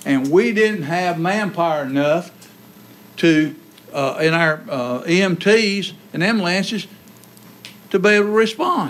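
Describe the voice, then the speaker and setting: A man with a Southern US accent speaks in a high voice with ordinary pitch variation. He leaves long, frequent pauses. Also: fairly slow pace. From North Carolina, US South. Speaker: county sheriff. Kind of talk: public appeal to officials. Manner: impassioned. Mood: earnest, persuasive. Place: meeting room. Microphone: podium.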